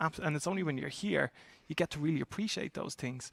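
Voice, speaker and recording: A man with an Irish accent talks with vocal fry. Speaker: talent acquisition executive. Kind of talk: panel discussion. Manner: halting.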